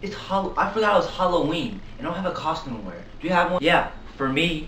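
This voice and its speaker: Speech comes at a moderate pace. There is light background noise and audible room echo. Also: man. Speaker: skit actor. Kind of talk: acted comedy skit dialogue. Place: kitchen. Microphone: camera far.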